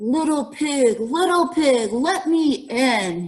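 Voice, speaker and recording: A woman's put-on character voice, high-pitched and growling, at a very slow pace. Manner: growling, menacing.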